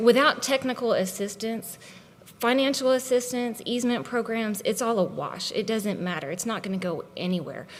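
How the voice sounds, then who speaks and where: At a fairly high pitch, a woman speaks at a moderate pace with ordinary pitch variation. Noticeable background noise is present. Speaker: conservation agency leader. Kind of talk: conference presentation. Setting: conference stage with audience. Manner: animated.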